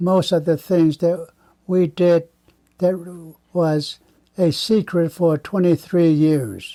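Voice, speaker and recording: A man with an American accent has a high pitch and a dark, mellow tone. He speaks at a very slow pace with fairly even intonation in a dry, close sound with no echo. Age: 80s+. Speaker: war veteran, Navajo code talker. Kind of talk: interview answer.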